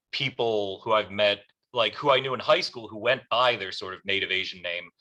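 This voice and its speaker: Speaking with an American accent, a man keeps up a fairly quick pace. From US, Korean adoptee. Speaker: audience member. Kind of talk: audience question. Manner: hesitant, many fillers.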